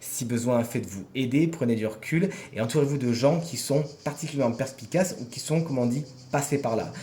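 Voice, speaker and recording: A man speaks at a medium pitch with ordinary pitch variation, and audible room echo surrounds his voice. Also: fairly quick pace. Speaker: tarot reader. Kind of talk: weekly horoscope tarot reading.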